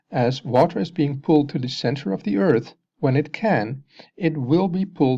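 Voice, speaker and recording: The speaker talks at a moderate pace with a slight Dutch accent. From Netherlands. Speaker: science video maker. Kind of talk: explanatory video narration.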